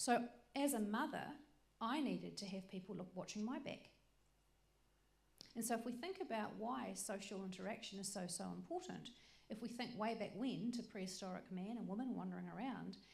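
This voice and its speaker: A woman with a fairly high pitch, vocal fry and ordinary pitch variation speaks at a fairly quick pace. Long, frequent pauses break up her speech, and the room echo is audible. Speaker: workshop presenter. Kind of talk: lecture. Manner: fast; animated.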